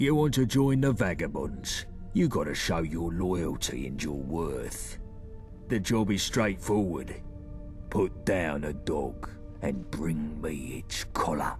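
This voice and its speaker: Over loud music in the background, a man uses a put-on character voice, very deep and low-pitched, at a fairly slow pace. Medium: machinima. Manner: blunt, commanding.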